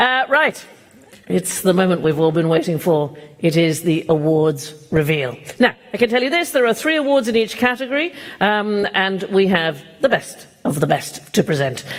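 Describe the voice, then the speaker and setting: The speaker talks at a moderate pace with noticeable background noise behind them. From Denmark. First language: Danish. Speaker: event host. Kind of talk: awards ceremony hosting. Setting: stage with audience.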